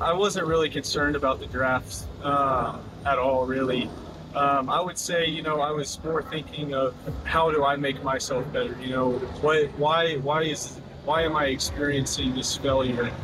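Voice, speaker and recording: With noticeable background noise behind him, a man speaks at a moderate pace and fairly high pitch with fairly even intonation. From Oklahoma, US. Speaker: professional baseball pitcher. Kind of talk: interview. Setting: at spring training camp.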